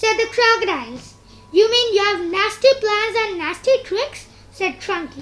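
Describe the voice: The clip is plain reading aloud, and its pitch moves in an ordinary way.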